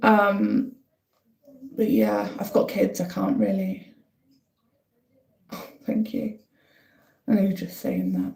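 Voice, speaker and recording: A woman with a northeast English accent at a very slow pace, with long, frequent pauses. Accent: north-east English (Durham). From northern England, County Durham. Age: 30s. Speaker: livestreamer. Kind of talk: casual live-stream chat.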